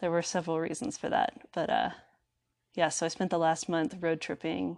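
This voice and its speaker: The recording is very clean, with a silent background. A woman with an American accent talks at a moderate pace in a fairly low pitch, with vocal fry. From Texas, Dallas area. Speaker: artist and hiker. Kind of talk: casual interview.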